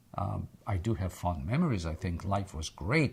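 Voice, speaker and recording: A man with a very deep, low pitch speaks at a moderate pace in an American accent, somewhat breathy, with lively intonation. The recording is very clean, with a silent background. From Egypt. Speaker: interviewee sharing life history. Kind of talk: oral history interview. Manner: hesitant, repeats words.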